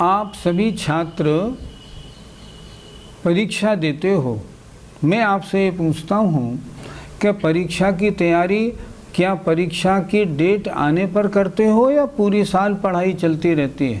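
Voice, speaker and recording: A man's high-pitched voice with very even loudness, ordinary pitch variation, and audible room echo. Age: 60s. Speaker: Jain scripture teacher. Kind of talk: religious lecture. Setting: class with students.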